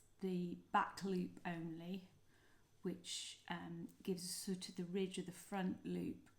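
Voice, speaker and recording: At a very slow pace and with long, frequent pauses, a woman speaks in a fairly low, somewhat breathy voice with monotone, flat intonation. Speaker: crochet designer and author. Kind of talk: tutorial. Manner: hesitant, many fillers.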